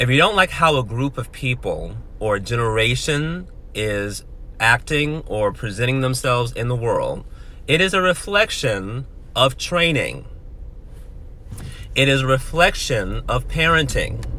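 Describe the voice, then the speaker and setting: Over noticeable background noise, a man with an American accent speaks fairly slowly at a medium pitch, with lively intonation and long, frequent pauses. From New York, the Bronx. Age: 20s. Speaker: motivational speaker. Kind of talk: direct-to-camera commentary. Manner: animated.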